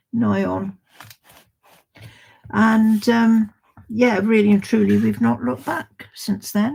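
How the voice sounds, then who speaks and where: A woman speaks with an English accent at a very slow pace. She leaves long, frequent pauses. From England. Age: 80s+. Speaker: livestream host. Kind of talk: casual chat. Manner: halting.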